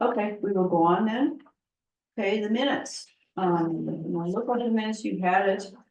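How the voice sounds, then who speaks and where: A soft-spoken woman talks at a medium pitch. Her intonation is lively. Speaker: library board chair. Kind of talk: public board meeting. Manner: halting. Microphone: too quiet for audience.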